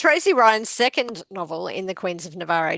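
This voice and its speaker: A woman with a strong Australian accent speaks at a moderate pace, recorded in a dry, close sound with no echo over a quiet background. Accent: very Australian. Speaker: podcast co-host. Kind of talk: reading aloud book blurbs.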